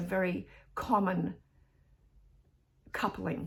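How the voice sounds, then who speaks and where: A woman speaks with vocal fry. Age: 60s. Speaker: therapist and fitness vlogger. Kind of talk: casual vlog monologue. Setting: in bed at home. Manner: halting, with self-corrections.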